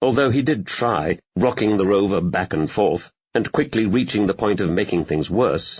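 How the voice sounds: A quiet background under a natural reading voice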